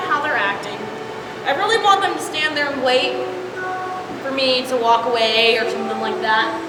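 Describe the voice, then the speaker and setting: Projecting in a raised, high-pitched voice with lively intonation, a woman talks at a moderate pace amid noticeable background noise and audible room echo. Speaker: horse trainer. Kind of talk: casual training video narration. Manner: loud.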